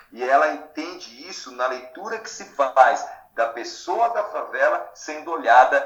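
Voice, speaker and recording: A man speaks at a moderate pace in a room with audible echo and noticeable background noise. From interior of São Paulo state, Brazil (Matão). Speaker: literature teacher. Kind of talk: podcast interview.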